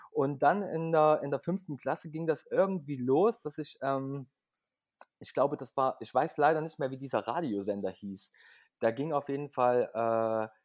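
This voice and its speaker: A normal speaking voice from a man, fairly high in pitch, with ordinary pitch variation at a moderate pace. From Leipzig, Germany. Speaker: singer-songwriter. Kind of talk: casual interview.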